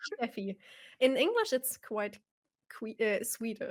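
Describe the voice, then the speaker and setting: Speaking at a fairly slow pace, a woman with a German accent uses a fairly high pitch. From Germany, Bavaria (Nuremberg). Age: 30s. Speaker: sim racer and streamer. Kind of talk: live stream interview.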